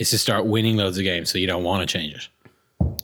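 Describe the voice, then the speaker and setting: Here a man with an Irish accent speaks at a fairly low pitch with fairly even intonation. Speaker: rugby podcast host. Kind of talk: casual chat.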